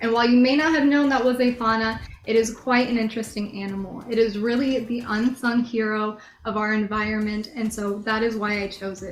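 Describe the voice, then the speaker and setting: Fairly quick and somewhat breathy, a woman's fairly high voice keeps a fairly even intonation. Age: 20s. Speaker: beauty pageant contestant. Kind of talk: pageant interview. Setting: video call.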